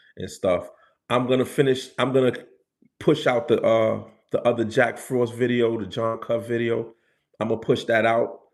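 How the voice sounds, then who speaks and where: A man talks at a moderate pace with a New York accent. His pitch sits in the medium range. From New York City, the Bronx. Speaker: street culture and spirituality livestreamer. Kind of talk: casual livestream chat.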